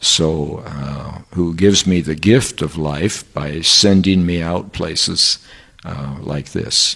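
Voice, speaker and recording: A man with an American accent talks at a very slow pace in a very deep, low pitch. His pitch varies in an ordinary way over noticeable background noise. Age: 70s. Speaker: professor. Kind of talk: interview. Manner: hesitant, many fillers.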